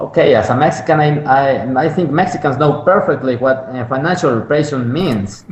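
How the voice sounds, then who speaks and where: Over noticeable background noise, a fairly high-pitched man speaks at a moderate pace. He has ordinary pitch variation and hardly any pauses. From Mexico. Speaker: economist. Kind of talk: interview. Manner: halting, many repetitions and fillers.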